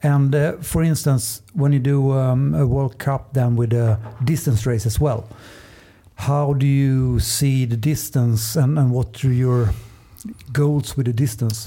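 Somewhat breathy male voice with a Swedish accent and a dark, mellow tone, medium-pitched, at a fairly slow pace, with fairly even intonation and very even loudness. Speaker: paddling coach. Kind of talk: casual chat.

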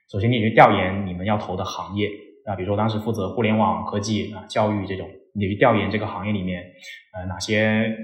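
The speaker has a slight Cantonese accent and talks at a fairly quick pace. Room echo is audible. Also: man. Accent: slight Cantonese-tinged Mandarin. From Guangdong, southern China. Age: 20s. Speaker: startup partner in career education. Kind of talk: casual interview chat. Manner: animated, frequent fillers.

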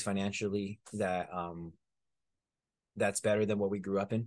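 A man talks at a moderate pace in a monotone, flat intonation. The background is quiet. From US, Mexican-American community. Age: 20s. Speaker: stunt performer and martial artist. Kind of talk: casual interview chat.

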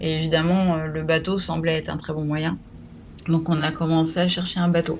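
A woman's fairly low voice holds a monotone, flat intonation. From France, Champagne (Troyes). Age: 40s. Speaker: deep-sea diver. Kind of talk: interview storytelling. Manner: halting, many hesitations.

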